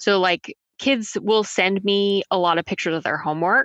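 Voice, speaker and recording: A woman's medium-pitched voice with an American accent, bright, sharp tone and moderate pace, dry and close with no echo against a quiet background. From Texas. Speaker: tutoring business founder and teacher. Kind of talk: interview.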